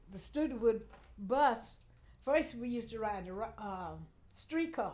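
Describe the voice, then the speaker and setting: A woman speaks with lively intonation and long, frequent pauses. Her loudness swings widely, and room echo is audible. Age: 80s+. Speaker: family elder. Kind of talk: oral history interview. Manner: halting.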